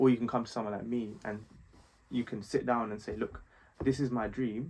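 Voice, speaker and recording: With a London accent, a man speaks at a fairly quick pace. His pitch is medium and his intonation fairly even. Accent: London multicultural English. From West London, England. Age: 20s. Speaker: fashion designer and strategist. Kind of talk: casual chat.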